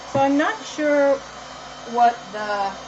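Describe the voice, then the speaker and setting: Noticeable background noise sits behind this woman's voice. She speaks in an American accent with ordinary pitch variation. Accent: East Coast accent noticed by viewers. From Massachusetts, US. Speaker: artist. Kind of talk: live stream tutorial. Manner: casual, halting.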